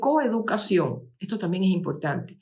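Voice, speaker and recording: A woman with a medium pitch uses lively intonation, and the room echo is audible. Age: 70s. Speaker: lecturer. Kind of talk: lecture. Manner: halting.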